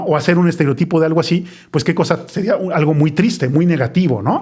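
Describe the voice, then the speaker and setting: At a very fast pace, a man with a high pitch speaks with ordinary pitch variation. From Mexico City (Colonia Roma). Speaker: podcast host. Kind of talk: casual chat.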